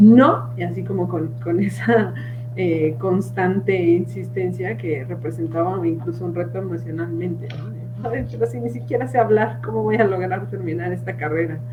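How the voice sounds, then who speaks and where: At a moderate pace and with hardly any pauses, a woman speaks amid audible room echo and noticeable background noise. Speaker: psychologist. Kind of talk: live panel discussion.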